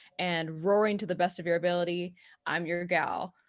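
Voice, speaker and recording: In a very clean recording with a silent background, a woman with a Texan accent speaks at a moderate pace and a medium pitch. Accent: Texan Southern. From Texas. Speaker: counselor and social media marketer. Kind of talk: podcast interview.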